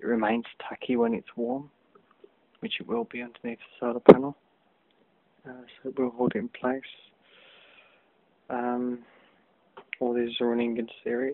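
Quiet voice with fairly even intonation, long, frequent pauses, and big swings in loudness. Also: man, moderate pace, dry sound with no echo. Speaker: DIY hobbyist. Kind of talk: tutorial; casual tutorial. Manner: hesitant, many fillers. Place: home room. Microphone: phone near.

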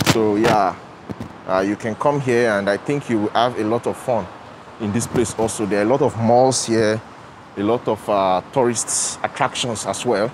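A man at a moderate pace, dry sound with no echo, light background noise. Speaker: travel vlogger. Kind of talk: casual vlog chat. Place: station. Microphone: lapel.

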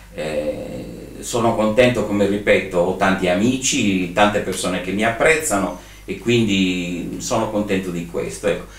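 A man talks at a fairly slow pace in a fairly low pitch, his intonation lively. Audible room echo surrounds the voice. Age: 60s. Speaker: event and trade fair organizer; interviewee. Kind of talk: interview. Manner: hesitant, many fillers. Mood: calm, reflective, content. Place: home room.

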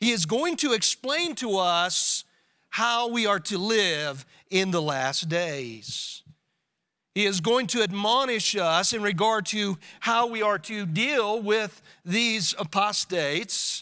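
Over a quiet background, a man speaks very slowly in a raised, projected voice with a bright, sharp tone. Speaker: pastor. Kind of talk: sermon. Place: church. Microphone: podium.

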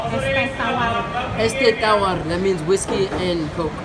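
A man speaks with crowd noise in the background. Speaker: father vlogger. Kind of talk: casual vlog chat. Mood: playful joking. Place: cafe.

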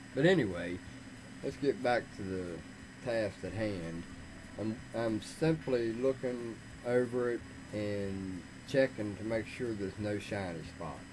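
Through noticeable background noise, a man with a fairly low pitch and ordinary pitch variation speaks at a fairly slow pace with long, frequent pauses. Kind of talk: casual workshop tutorial chat. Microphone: studio mic.

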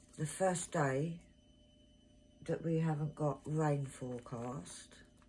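Over light background noise, the voice moves at a very slow pace, somewhat breathy with a dark, mellow tone. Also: woman. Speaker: craft seller. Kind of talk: casual vlog chat. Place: home room. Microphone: phone near.

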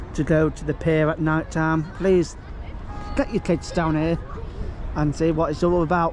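The pace is fairly slow, with music in the background. The sound is dry, without echo. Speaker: vlogger. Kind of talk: casual vlog chat. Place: beach. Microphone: phone near.

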